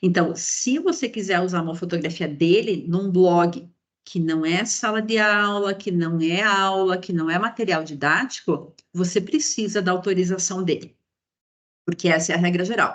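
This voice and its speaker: Here a woman has an ordinary speaking voice at a medium pitch. She talks at a moderate pace with ordinary pitch variation. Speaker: university professor, copyright law specialist. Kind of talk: lecture. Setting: online class, video call.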